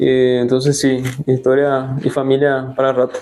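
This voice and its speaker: A man's medium-pitched voice, monotone and flat, over background music. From southern Brazil (Rio Grande do Sul), raised in Encarnación, Paraguay from about age 7. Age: 30s. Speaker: interviewee. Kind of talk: casual interview. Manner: hesitant, with frequent fillers.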